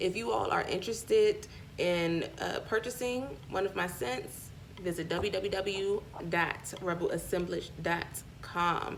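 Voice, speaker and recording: Lively intonation marks a woman's medium-pitched voice with a Southern US accent. Noticeable background noise can be heard. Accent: sounds country (Southern US). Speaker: spiritual vlogger and small business owner. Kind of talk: casual vlog with product pitch.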